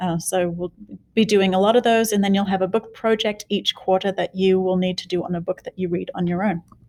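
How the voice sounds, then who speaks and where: A woman with an Australian accent talks at a fairly quick pace and medium pitch in a monotone, flat intonation. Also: dry, close sound with no echo. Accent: Australian, noticeable. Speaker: middle school teacher. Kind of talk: class introduction video. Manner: casual, with fillers.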